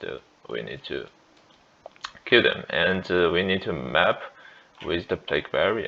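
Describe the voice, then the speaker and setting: A man with a Chinese accent speaks over noticeable background noise. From China. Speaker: gaming youtuber. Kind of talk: gameplay tutorial. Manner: halting, many fillers and restarts.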